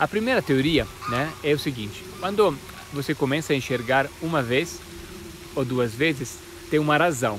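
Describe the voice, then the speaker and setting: An Italian accent at a moderate pace, with ordinary pitch variation and noticeable background noise. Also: man. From Italy. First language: Italian (speaking Portuguese). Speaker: spiritual teacher, alchemist. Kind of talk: casual explainer talk to camera. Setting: outdoors in nature. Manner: halting with frequent repetitions.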